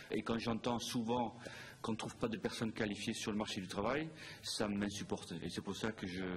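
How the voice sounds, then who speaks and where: His voice, medium in pitch with ordinary variation, moves along at a fairly quick pace. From Netherlands. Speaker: hotel group operations director. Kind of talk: interview. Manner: hesitant, many fillers.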